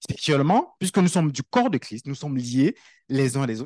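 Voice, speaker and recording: A man at a fairly quick pace with very wide pitch swings over a quiet background. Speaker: preacher. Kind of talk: sermon. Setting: church. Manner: conversational, animated preaching with everyday analogies and repetition.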